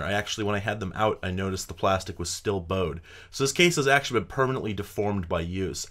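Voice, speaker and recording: Against a quiet background, a man with a fairly low pitch speaks at a very fast pace. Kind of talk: casual vlog chat. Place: workshop. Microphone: studio mic.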